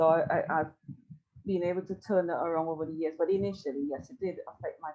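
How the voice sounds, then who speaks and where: A woman with a West Indian accent talks at a fairly quick pace. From Tobago. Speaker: podcast co-host, psychology background. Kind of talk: casual podcast conversation.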